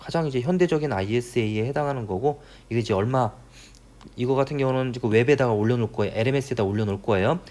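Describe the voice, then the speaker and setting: A man's very fast speech with lively intonation and a dark, mellow tone. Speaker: university professor. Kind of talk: lecture.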